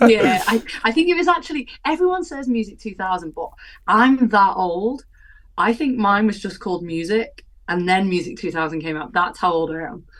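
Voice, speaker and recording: With a Welsh accent, a woman at medium pitch speaks at a moderate pace, her pitch swinging very widely. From Wales. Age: 30s. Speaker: live techno artist and DJ. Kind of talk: casual chat.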